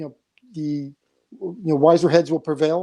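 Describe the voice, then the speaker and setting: A man talks at a high pitch. His tone is dark and mellow. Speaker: comics industry veteran, former publisher. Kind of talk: panel discussion. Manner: monotone.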